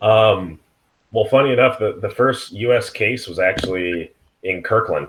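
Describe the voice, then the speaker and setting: A somewhat breathy male voice with a Pacific Northwest accent, ordinary pitch variation and a moderate pace. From Seattle area, US. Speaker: IT worker. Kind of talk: casual chat.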